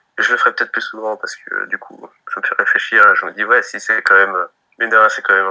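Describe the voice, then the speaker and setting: The speaker is a man talking very fast. His volume rises and falls sharply. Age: 20s. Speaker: young father telling his child's home birth. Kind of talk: interview, personal birth story. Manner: hesitant, many fillers and repetitions.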